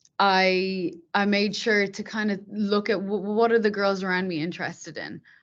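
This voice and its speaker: A woman speaks at a moderate pace with an Irish accent. The background is quiet. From Ireland, Dublin. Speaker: software tech lead. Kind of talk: podcast interview.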